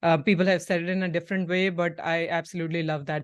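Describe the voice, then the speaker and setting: A woman speaks with a fairly low pitch and fairly even intonation. The background is quiet. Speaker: podcast host. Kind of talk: interview; casual chat. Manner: fast.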